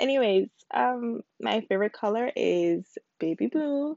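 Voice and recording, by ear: A woman with an American accent speaks in a dark, mellow tone with vocal fry. The sound is dry and close, with no echo.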